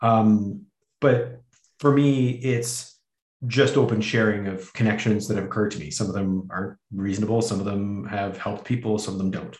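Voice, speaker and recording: A man's fairly low, somewhat breathy voice with a Canadian accent, fairly even intonation and a moderate pace. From Canada. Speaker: podcast host and academic. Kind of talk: casual chat.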